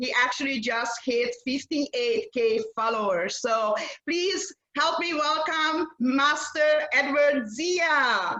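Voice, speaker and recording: A woman's raised, projected voice, high in pitch, with lively intonation and a very slow pace. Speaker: podcast host. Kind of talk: interview.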